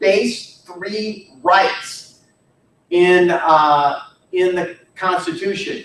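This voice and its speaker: High-pitched, a man speaks amid audible room echo. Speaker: history teacher. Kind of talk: lecture.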